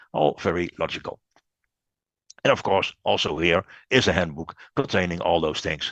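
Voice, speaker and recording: The speech moves at a moderate pace with ordinary pitch variation. It has long, frequent pauses and a dry, close sound with no echo. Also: man, very deep, low pitch for a man. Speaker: webinar presenter. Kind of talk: webinar presentation. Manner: halting, many fillers.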